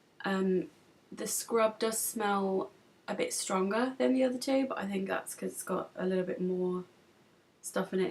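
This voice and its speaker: A woman at medium pitch, with an English accent. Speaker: beauty vlogger. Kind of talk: product review vlog. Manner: casual, hesitant with many ums.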